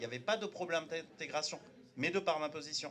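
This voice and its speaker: A man speaks with a Turkish accent. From France, Turkish immigrant family, arrived at age seven. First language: Turkish (speaking French). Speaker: panel debate speaker. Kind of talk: public panel debate. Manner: halting, many hesitations.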